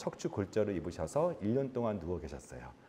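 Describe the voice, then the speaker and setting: A man speaks in a dark, mellow tone with vocal fry and very wide pitch swings. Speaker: physician and author. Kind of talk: lecture. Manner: conversational with filler 'uh'.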